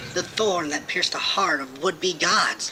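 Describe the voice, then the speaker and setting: Against clear background noise, a put-on character voice at a middle pitch moves at a moderate pace. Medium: read story. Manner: concerned, pleading.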